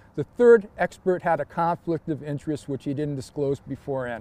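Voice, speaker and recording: Talking at a fairly quick pace, a man has a dark, mellow tone in a dry, close sound with no echo. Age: 60s. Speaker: citizen giving testimony on police surveillance. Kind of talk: testimony. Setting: filmed interview for a documentary. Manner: formal.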